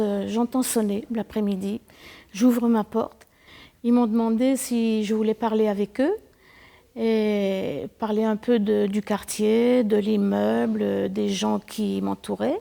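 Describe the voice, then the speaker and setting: The delivery is monotone and flat, at a very slow pace. The tone is dark and mellow. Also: woman. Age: 70s. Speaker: resident in social housing. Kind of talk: testimony.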